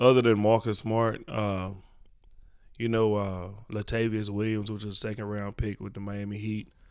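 A man with an American accent and fairly low pitch talks in a monotone, flat intonation on a very clean recording with a silent background. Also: moderate pace. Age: 40s. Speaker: youth basketball coach. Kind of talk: casual interview.

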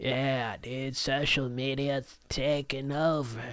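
Using a put-on character voice, a man speaks at a very slow pace in a medium pitch with monotone, flat intonation. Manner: jokey, exaggerated.

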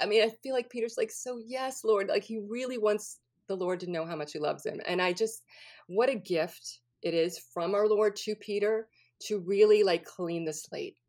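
A woman with a normal speaking voice in an American accent, medium in pitch with ordinary pitch variation. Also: moderate pace. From New Orleans, US South. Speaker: actress and comedian. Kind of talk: casual chat.

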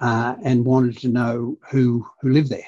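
A man with a medium-pitched voice talks at a moderate pace against a quiet background. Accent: Australian. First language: Dutch. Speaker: state productivity commissioner.

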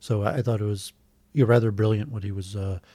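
In a very clean recording with a silent background, a man with a fairly low pitch and a dark, mellow tone talks at a very fast pace, somewhat breathy. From US Midwest, Metro Detroit suburbs. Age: 40s. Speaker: civil engineer and YouTuber. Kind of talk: casual chat. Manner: halting, many fillers.

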